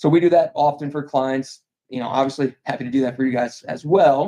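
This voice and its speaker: In an American accent, a man speaks with a dark, mellow tone at a fairly high pitch. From New York, Albany. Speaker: insurance broker. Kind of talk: sales pitch. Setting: public meeting. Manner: fast.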